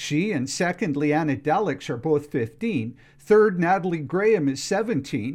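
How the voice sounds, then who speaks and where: Speaking with lively intonation at a moderate pace, a man has a plain, everyday voice. The background is quiet. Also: fairly high pitch for a man. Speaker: radio newsreader. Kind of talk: radio newscast, crisp scripted newsreading delivered straight to the listener. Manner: steady, formal, even-paced.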